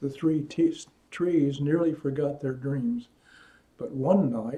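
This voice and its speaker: Somewhat breathy and dark, mellow in tone, a man speaks at a fairly slow pace with a fairly high pitch. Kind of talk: children's story reading.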